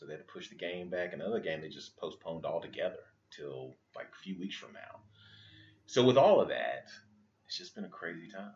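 A man's fairly quick speech with big swings in loudness. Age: 30s. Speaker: podcast host, father. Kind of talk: casual chat.

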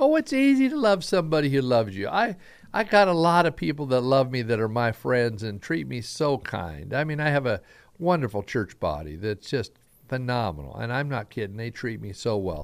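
A man's medium-pitched voice with an American accent, very wide pitch swings and a fairly quick pace, in a very clean recording with a silent background. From Southern Idaho. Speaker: pastor. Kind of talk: sermon-style Bible teaching with prayer. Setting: radio broadcast.

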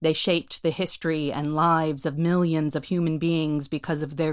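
A woman's very deep, low voice in an American accent, monotone and flat, on a very clean recording with a silent background. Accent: American-sounding, like a tourist. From United States. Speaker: performer and writer. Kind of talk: scripted monologue performance.

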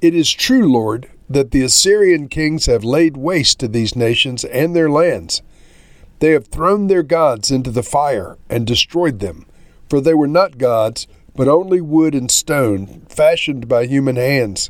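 A plain, everyday voice from a man, fairly high in pitch, fairly slow, with lively intonation. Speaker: pastor. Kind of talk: scripture reading aloud; fervent prayer read from scripture. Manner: measured, reverent.

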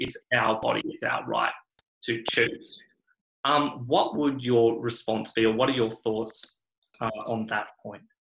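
A man speaks in a flat monotone with an Australian accent. His pitch is medium and his pace fairly slow. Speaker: podcast host. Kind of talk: interview conversation.

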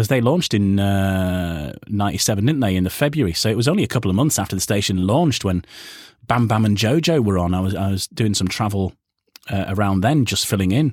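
A man with a Yorkshire accent talks at a very fast pace in a fairly low pitch. The recording is very clean, with a silent background. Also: ordinary pitch variation, very even loudness. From Yorkshire, northern England. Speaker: radio presenter and voiceover artist. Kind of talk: casual interview chat. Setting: home voiceover booth.

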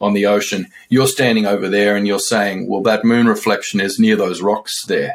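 A man with an Australian accent at a moderate pace. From remote Australia. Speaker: author. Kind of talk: casual chat.

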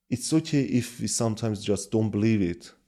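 A man with a Kurdish accent speaks at a medium pitch and moderate pace, with ordinary pitch variation. The recording is very clean, with a silent background. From Iran, Kurdish region. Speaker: Bible translator. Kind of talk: testimony. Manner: halting, frequent fillers.

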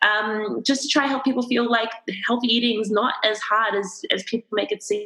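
This is a normal speaking voice at a fairly quick pace. Intonation stays fairly even. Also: woman, fairly high pitch for a woman. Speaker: dietitian and nutritionist. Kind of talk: casual chat. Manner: open, laughs often.

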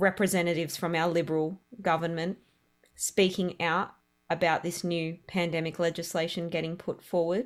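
A woman speaks with an Australian accent at a fairly low pitch. Her intonation is monotone and flat, and the recording is very clean with a silent background. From Australia, Melbourne. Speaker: caterer and food truck owner. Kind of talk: interview testimony. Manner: halting, many fillers.

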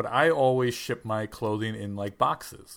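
In a very clean recording with a silent background, a man with a plain, everyday voice speaks at medium pitch with ordinary pitch variation. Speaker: podcast co-host. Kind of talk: casual chat.

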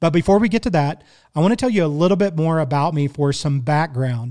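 A man speaks with a Midwestern US accent on a very clean recording with a silent background. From Kansas City, Missouri. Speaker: podcast host and barbecue cook. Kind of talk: casual solo monologue. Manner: conversational, friendly.

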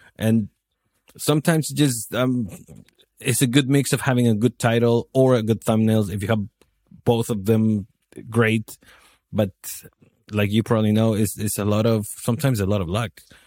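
A man with a Spanish accent speaks at a medium pitch in a dark, mellow tone, his intonation fairly even. He leaves long, frequent pauses, and the recording is very clean with a silent background. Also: moderate pace, dry, close sound with no echo. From Chile. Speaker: video marketer. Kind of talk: casual interview.

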